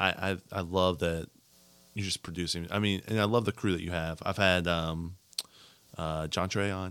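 A man with an American accent talks at a moderate pace. His very deep, low pitch stays monotone and flat. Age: 30s. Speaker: podcast host. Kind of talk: casual interview chat.

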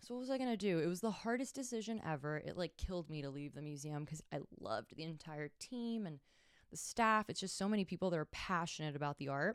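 A woman with an American accent talks at a very fast pace in a fairly low voice with very wide pitch swings and an animated tone. The recording is very clean, with a silent background. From Miami, Florida. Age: 30s. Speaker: content creator and podcast host. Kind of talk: casual solo monologue. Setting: studio.

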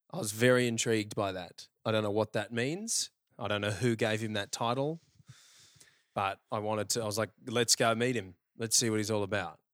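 In a very clean recording with a silent background and a dry, close sound with no echo, a man with an Australian accent speaks fairly quickly at a fairly low pitch with fairly even intonation. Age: 30s. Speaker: podcast host. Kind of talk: casual chat. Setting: apartment. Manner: relaxed.

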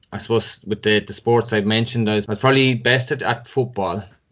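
A man with a Tipperary accent speaks at a fairly quick pace, his fairly low voice keeping a fairly even intonation. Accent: Irish (Tipperary). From Ireland, Cashel, County Tipperary. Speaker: former inter-county hurler and footballer. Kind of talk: podcast interview.

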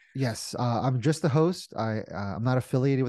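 A man's dark, mellow tone at a fairly quick pace, with ordinary pitch variation and a quiet background. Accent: American. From New Jersey. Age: 40s. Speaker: commercial real estate investor. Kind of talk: interview.

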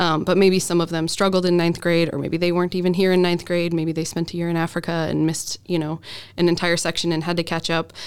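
A woman with an American accent talks very fast at a fairly low pitch, with monotone, flat intonation. Noticeable noise sits in the background. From Idaho, Boise. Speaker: school counselor. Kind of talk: casual interview chat. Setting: studio.

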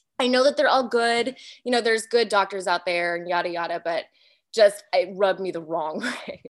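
Over a quiet background, a woman speaks at a moderate pace and medium pitch in an animated tone, with ordinary pitch variation. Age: 30s. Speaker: mother sharing birth stories. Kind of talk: testimony.

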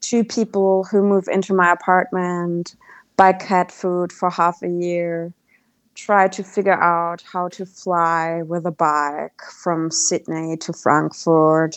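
A woman talks at a fairly low pitch with a German accent. Her intonation is flat and monotone, and her pace is very slow. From Germany. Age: 30s. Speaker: travelling cyclist. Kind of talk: casual interview.

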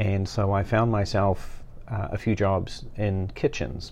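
With a New Zealand accent, a man speaks at a fairly slow pace in a fairly low pitch with fairly even intonation. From New Zealand, West Auckland. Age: 50s. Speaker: master sommelier and wine educator. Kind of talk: interview conversation.

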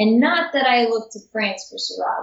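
Somewhat breathy and fairly high in pitch, a woman talks at a fairly quick pace. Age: 30s. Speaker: sommelier and graphic designer. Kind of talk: casual interview. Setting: video call.

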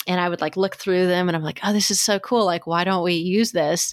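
At a fairly quick clip, an unremarkable speaking voice keeps its intonation fairly even. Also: woman. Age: 30s. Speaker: podcast host. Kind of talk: casual chat.

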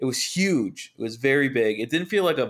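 Moving at a moderate pace, a man uses lively intonation in an unremarkable speaking voice. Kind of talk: comedy routine, playing straight man in a sketch. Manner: sarcastic, snappy, exasperated and profane.

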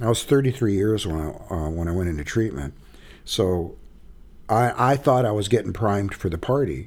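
A man's ordinary speaking voice, fairly low in pitch, with an American accent, moderate pace and lively intonation. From Arizona. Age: 60s. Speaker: author and healing circle facilitator in recovery. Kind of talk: casual interview conversation.

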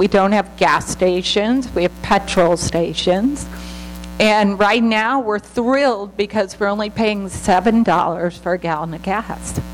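Over noticeable background noise, a woman speaks at a fairly slow pace in a medium pitch. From United States. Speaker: missionary. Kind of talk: church talk. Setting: church.

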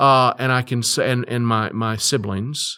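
The speaker is a man with a bright, sharp tone. He takes a fairly slow pace. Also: very clean recording, silent background. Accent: Texan. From Texas, Fort Worth. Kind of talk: interview. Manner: halting.

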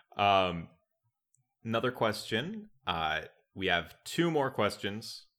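Over a silent background in a very clean recording, a man with an American accent speaks very slowly, pausing long and often, in a fairly low voice with a bright, sharp tone. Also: lively intonation. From US Midwest, Wisconsin. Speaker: podcast host. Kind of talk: casual chat.

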